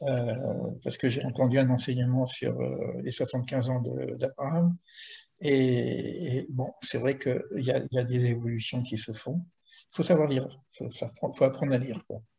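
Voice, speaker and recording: A man speaks with a dark, mellow tone and a somewhat breathy voice. His intonation is fairly even, broken by long, frequent pauses. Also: medium pitch for a man, moderate pace. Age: 70s. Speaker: spiritual teacher. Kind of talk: teaching Q&A. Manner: halting, many repetitions.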